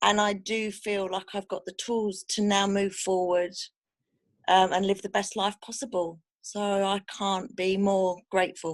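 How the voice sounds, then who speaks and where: Her medium-pitched voice stays monotone, with flat intonation throughout. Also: fairly slow pace. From Western Australia. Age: 40s. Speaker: workshop attendee. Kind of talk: testimonial. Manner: hesitant, many ums.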